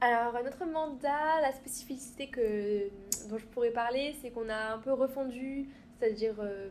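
A woman speaks at a fairly slow pace in a fairly high pitch with ordinary pitch variation. She has an unremarkable speaking voice. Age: 20s. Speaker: student. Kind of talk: interview.

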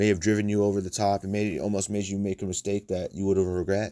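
Fairly low and dark, mellow in tone, a man talks at a fairly quick pace with an American accent. The recording is very clean, with a silent background. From United States. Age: 20s. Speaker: podcast host. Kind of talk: casual monologue.

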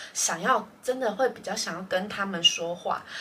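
With lively intonation and a medium pitch, a woman speaks at a moderate pace over noticeable background noise. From Taiwan. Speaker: podcast co-host. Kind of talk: casual chat.

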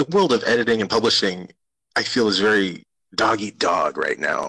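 A man with an American accent speaks at a moderate pace in a bright, sharp tone, with vocal fry and very wide pitch swings. The background is quiet. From US Great Plains, Cheyenne River Reservation, South Dakota. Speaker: podcast host, graduate student. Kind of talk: interview podcast. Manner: halting, many fillers.

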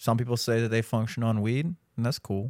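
This man has an unremarkable speaking voice at medium pitch. The recording is very clean with a silent background and a dry, close sound with no echo. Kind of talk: casual chat.

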